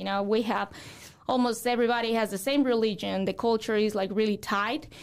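On a very clean recording with a silent background, a woman with a Mexican accent speaks at a fairly high pitch with fairly even intonation. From Mexico. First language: Spanish. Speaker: real estate broker. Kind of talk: interview.

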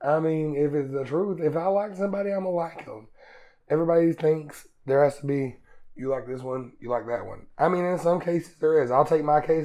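Talking at a fairly quick pace in an Appalachian accent, a man has a fairly high pitch and a dark, mellow tone. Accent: Appalachian Southern US. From Eastern Kentucky, US. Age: 20s. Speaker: student. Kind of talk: casual interview.

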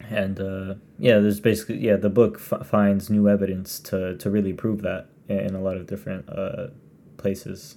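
Intonation is fairly even. The voice has a dark, mellow tone. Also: man, fairly low pitch for a man, moderate pace. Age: 20s. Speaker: podcast co-host. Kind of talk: casual chat.

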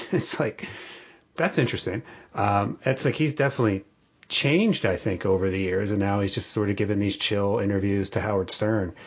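A man with a plain, everyday voice and an American accent speaks at a fairly quick pace, fairly low in pitch, with ordinary pitch variation and very even loudness. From Atlantic City, New Jersey. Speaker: podcast host. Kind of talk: casual interview.

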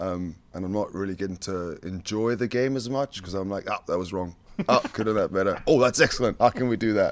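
A man with a fairly low-pitched voice speaks with ordinary pitch variation. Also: fairly quick pace. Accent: Scottish. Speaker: rugby assistant coach, former player. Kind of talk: casual interview chat. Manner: passionate.

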